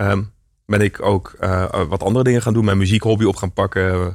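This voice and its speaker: This man has a fairly low pitch and speaks at a moderate pace with fairly even intonation. The recording is very clean, with a silent background. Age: 30s. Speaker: entrepreneur. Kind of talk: interview. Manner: hesitant, many fillers.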